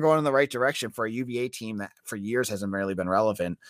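A man with a slight Boston accent talks at a fairly quick pace. The sound is dry and close, with no echo. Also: very clean recording, silent background. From Boston, northern US. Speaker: college football podcaster.

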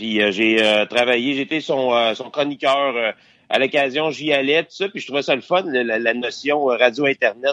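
In a Quebec accent, a man speaks at a fairly slow pace. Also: medium pitch for a man, ordinary pitch variation. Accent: Québécois French. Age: 40s. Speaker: podcast host. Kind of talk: casual interview. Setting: phone call.

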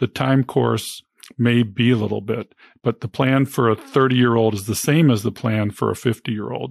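In a very clean recording with a silent background and a dry, close sound with no echo, a man uses a normal speaking voice at a moderate pace. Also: medium pitch for a man, fairly even intonation. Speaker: physician and podcast host. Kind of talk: podcast interview.

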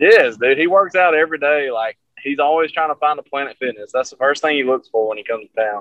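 With a Southern accent, a man talks at a very fast pace. His pitch is fairly high and his loudness swings widely. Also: ordinary pitch variation. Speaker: rock guitarist. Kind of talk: casual chat.

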